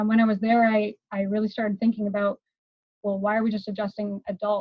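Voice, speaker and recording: Somewhat breathy, a woman talks at a very fast pace in a medium pitch with monotone, flat intonation. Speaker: chiropractor. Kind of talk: interview.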